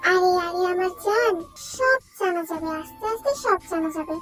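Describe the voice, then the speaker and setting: A woman uses a put-on character voice at a moderate pace. Clear music plays in the background. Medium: fan dub. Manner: relaxed, reassuring.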